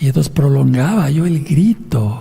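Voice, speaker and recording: A man is speaking, with audible room echo. Background noise is noticeable. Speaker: pastor. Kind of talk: sermon.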